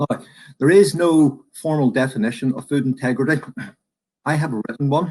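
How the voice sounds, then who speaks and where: Moderate pace from a man with a Northern Irish accent, fairly high in pitch, with ordinary pitch variation and long, frequent pauses. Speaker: professor, food supply expert. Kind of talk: presentation. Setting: virtual conference.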